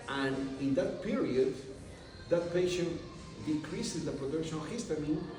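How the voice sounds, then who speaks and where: A man with a Spanish accent and a fairly high pitch, at a moderate pace with ordinary pitch variation and long, frequent pauses, amid audible room echo and noticeable background noise. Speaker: medical doctor and university president. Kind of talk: interview. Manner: halting.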